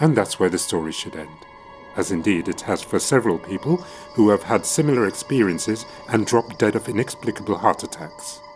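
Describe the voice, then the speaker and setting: With music in the background, the voice moves at a fairly quick pace with lively intonation. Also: man, fairly low pitch for a man. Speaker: actor and scholar. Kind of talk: ghost story reading.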